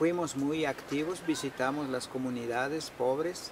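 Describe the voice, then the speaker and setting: A fairly high-pitched man with a Guatemalan accent and ordinary pitch variation, against noticeable background noise. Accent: Guatemalan Spanish with K'iche'. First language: K'iche' (speaking Spanish). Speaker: war survivor and former activist. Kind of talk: testimony. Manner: halting, many fillers.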